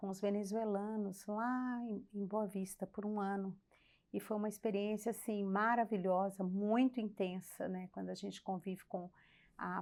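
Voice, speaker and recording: A woman speaks at a fairly slow pace with a medium pitch and monotone, flat intonation. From Brazil, Belo Horizonte. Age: 60s. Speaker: church member, former mission leader. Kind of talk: casual chat.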